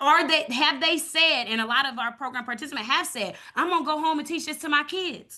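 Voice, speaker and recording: A woman's raised, projected voice, high-pitched, bright and sharp, at a fairly quick pace with hardly any pauses and ordinary pitch variation. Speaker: community program leader and evaluator. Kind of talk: webinar presentation. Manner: fast.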